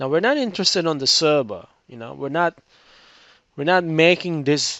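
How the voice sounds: A man talks at a fairly high pitch with lively intonation. His tone is fairly bright. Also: moderate pace.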